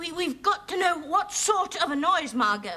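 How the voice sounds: This put-on character voice has a bright, sharp tone and big pitch swings. It moves at a moderate pace. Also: woman, extremely high pitch for a woman.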